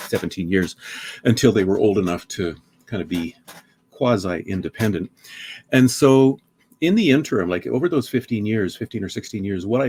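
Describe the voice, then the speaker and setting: A man with a Canadian accent, lively intonation, and a moderate pace. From Saskatchewan, Canadian Prairies. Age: 60s. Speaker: author. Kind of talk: podcast interview. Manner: hesitant, many fillers.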